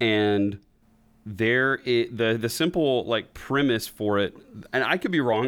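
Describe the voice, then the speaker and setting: A man talks in a plain, everyday voice at a medium pitch with ordinary pitch variation. The recording is very clean, its background silent. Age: 20s. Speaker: podcast host. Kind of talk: casual chat.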